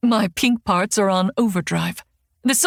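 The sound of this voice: Here is an unforced reading voice with ordinary pitch variation. The background is quiet.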